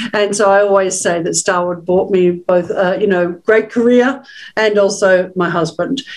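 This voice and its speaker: Here a woman talks with an Australian accent. Her intonation stays fairly even. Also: medium pitch for a woman, moderate pace. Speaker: webinar host, hospitality executive. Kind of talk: webinar panel talk.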